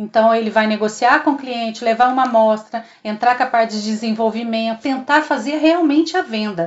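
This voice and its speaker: A woman with an unremarkable speaking voice talks at a fairly high pitch and a moderate pace. Her pitch varies in an ordinary way, and she hardly pauses. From southern Minas Gerais, Brazil (Três Corações). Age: 50s. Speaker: customer service supervisor. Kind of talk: interview.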